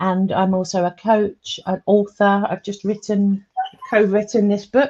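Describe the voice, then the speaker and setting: A woman with an English accent speaks at a medium pitch and fairly slow pace. Her tone is dark, mellow and somewhat breathy, with monotone, flat intonation. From England. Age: 50s. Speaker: comedian and public speaker. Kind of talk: interview. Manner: hesitant, many fillers.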